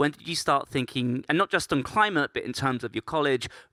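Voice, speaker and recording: A man speaks at a fairly quick pace with lively intonation, a fairly high pitch, and a bright, sharp tone, recorded dry and close with no echo. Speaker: podcast host and panel moderator. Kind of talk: panel moderation. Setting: stage with live audience.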